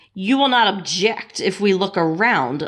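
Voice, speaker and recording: In a put-on character voice, a female-sounding speaker growls at a medium pitch and a moderate pace. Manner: demanding, not asking.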